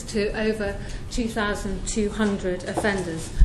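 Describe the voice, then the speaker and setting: A woman's fairly high voice is heard against noticeable background noise. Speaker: prison course tutor and charity trustee. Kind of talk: talk to an audience at an event.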